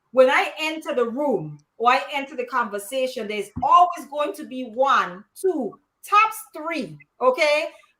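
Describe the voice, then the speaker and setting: A woman with high pitch speaks at a fairly slow pace in a raised, projected voice, with very wide pitch swings and big swings in loudness. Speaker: panelist. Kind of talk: live panel discussion. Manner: frank, emphatic.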